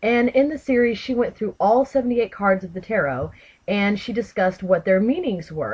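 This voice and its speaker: Somewhat breathy and speaking at a fairly quick pace with an American accent, the voice carries lively intonation. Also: woman. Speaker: tarot video creator. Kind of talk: casual vlog talk. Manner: chatty, with many fillers.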